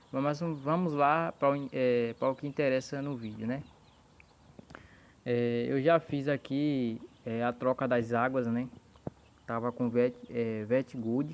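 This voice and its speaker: A soft-spoken man at a medium pitch, very slow, with fairly even intonation and long, frequent pauses. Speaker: poultry breeder. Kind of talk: tutorial. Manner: speaking softly, low volume.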